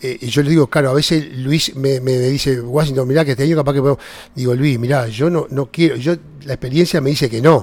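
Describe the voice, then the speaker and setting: Speaking at a fairly quick pace with a Uruguayan accent, a man uses a fairly high pitch and fairly even intonation. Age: 60s. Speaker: vineyard grower. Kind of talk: casual interview. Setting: at the vineyard. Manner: halting.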